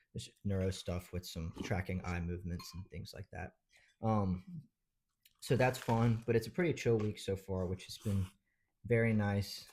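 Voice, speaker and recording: A man with an American accent and a fairly low pitch, a normal speaking voice, talks with fairly even intonation and big swings in loudness in a very clean recording with a silent background. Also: moderate pace. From Georgia, US South (Madison). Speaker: medical student. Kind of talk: casual chat.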